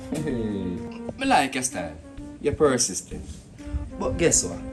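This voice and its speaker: Music plays in the background while a man with a Jamaican accent speaks at a fairly slow pace in a medium pitch. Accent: Jamaican Patois. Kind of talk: comedy sketch, phone call monologue. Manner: sarcastic.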